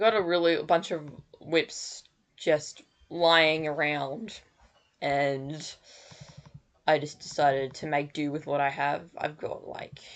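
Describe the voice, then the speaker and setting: A woman with an Australian accent and a very deep, low pitch speaks with fairly even intonation, big swings in loudness, and long, frequent pauses. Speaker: digital artist streamer. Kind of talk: casual live stream chat. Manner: halting.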